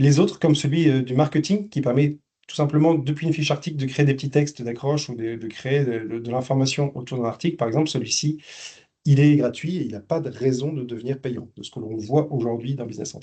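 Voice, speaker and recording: A man's fairly high voice, somewhat breathy and dark and mellow in tone, with big swings in loudness against a quiet background. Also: ordinary pitch variation, fairly quick pace. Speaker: business software specialist. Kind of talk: webinar presentation. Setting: online webinar. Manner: halting, many fillers and repeats.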